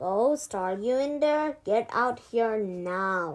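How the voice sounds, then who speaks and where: Shouting in a put-on character voice, a woman speaks at a very slow pace with fairly high pitch. The recording is very clean, with a silent background. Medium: read story. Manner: bossy, shouting.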